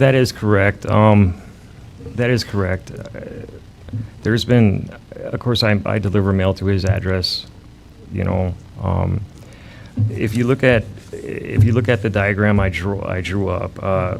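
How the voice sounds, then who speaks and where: Amid noticeable background noise and audible room echo, a fairly low-voiced man speaks at a fairly slow pace with long, frequent pauses and fairly even intonation. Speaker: mail carrier bitten by a dog. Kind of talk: testimony at city council meeting. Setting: city council meeting.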